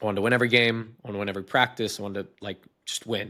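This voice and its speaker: The voice has a bright, sharp tone and moves at a fairly quick pace in a very clean recording with a silent background. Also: man. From United States, immigrant family. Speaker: entrepreneur and investor. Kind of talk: podcast interview. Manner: casual, many fillers and restarts.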